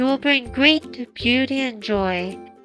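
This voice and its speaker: Over clear background music, a high-pitched, female-sounding put-on character voice speaks at a fairly slow pace. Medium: read story. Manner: calm, reassuring.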